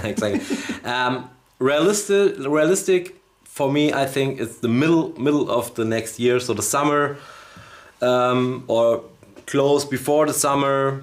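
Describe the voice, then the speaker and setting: In a Bavarian accent, a man speaks in a fairly high pitch with ordinary pitch variation, at a fairly slow pace with long, frequent pauses. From Bavaria, Germany. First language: German. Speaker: magician, live stream co-host. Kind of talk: casual chat. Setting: studio live stream. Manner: halting.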